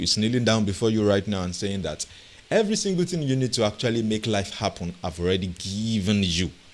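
This man has a fairly low pitch and lively intonation. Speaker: podcast host, coach. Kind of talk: motivational talk. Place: home room. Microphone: studio mic.

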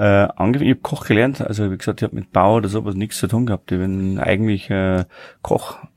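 A man speaks fairly quickly, fairly low in pitch with vocal fry. His intonation stays fairly even. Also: slightly mellow tone.

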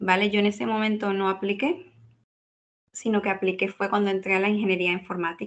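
A plain, everyday voice from a woman, medium in pitch, at a fairly quick pace with fairly even intonation and very even loudness. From Venezuela, Caracas. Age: 20s. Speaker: data scientist. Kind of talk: interview.

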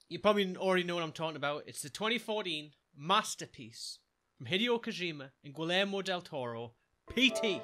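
Speaking at a fairly quick pace, a man with a Geordie accent has a high pitch, a bright, sharp tone and lively intonation. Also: big swings in loudness. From Newcastle, North East England. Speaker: gamer, let's play streamer. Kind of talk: gaming commentary. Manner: scared, excitable, swearing. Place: home room. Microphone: studio mic.

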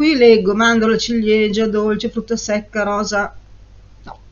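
A woman is speaking. Her pitch is fairly high. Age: 50s. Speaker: perfume reviewer YouTuber; perfume reviewer. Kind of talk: casual vlog review. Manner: animated, chatty. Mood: euphoric, playful. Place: home room. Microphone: webcam.

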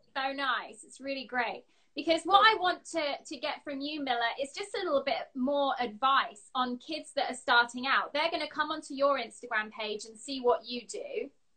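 Lively intonation from a woman with a high pitch, big swings in loudness and a moderate pace, over a quiet background. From England. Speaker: interview show host. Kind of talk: live video interview. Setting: video call. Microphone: phone near.

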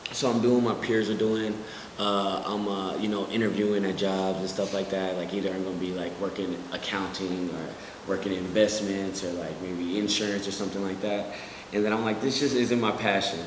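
Over noticeable background noise, a man with a fairly low pitch talks at a fairly quick pace in a monotone, flat intonation. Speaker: interview guest. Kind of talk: interview answer. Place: studio.

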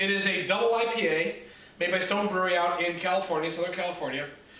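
A raised, projected voice with fairly even intonation goes at a moderate pace, with audible room echo. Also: man. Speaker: beer reviewer host. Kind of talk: casual tasting chat. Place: home room. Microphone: camera far.

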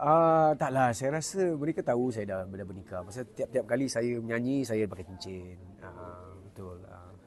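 Medium-pitched male speech at a moderate pace, lively intonation, big swings in loudness and hardly any pauses, over a quiet background. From Singapore. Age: 40s. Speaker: singing competition contestant. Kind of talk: casual interview. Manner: hesitant, many fillers.

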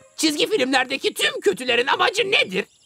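Faint music plays behind a cartoonish character voice that is bright and sharp, full of vocal fry, moving at a fairly quick pace with big pitch swings.

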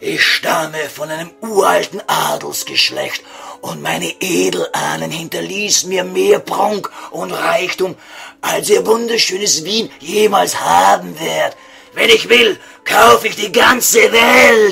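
Using a put-on character voice, a man projects loudly at a high pitch and a fairly slow pace, with faint music in the background. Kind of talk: comic radio sketch, mock-solemn elevated speech. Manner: pompous, formal, courteous, stilted.

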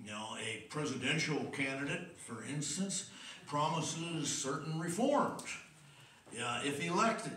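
Fairly slow speech from a man amid audible room echo. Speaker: preacher. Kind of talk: sermon. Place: church.

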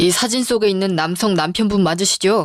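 Using a put-on character voice, a female-sounding speaker talks raspy and at a middle pitch, moving at a fairly quick pace. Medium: audio drama. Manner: formal, curt.

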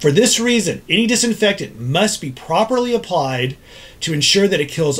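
A man with an American accent, moderate pace and very wide pitch swings. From Texas, Dallas. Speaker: ENT doctor. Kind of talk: scripted explainer. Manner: formal. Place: office.

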